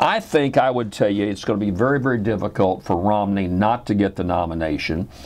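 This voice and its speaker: The speaker is a man with an American accent. His fairly low voice shows ordinary pitch variation. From Louisiana, US South. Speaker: radio host. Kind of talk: radio talk show monologue.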